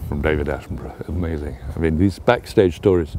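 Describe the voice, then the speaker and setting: A man speaks with a southern English accent. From England. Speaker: travel writer. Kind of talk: interview answer.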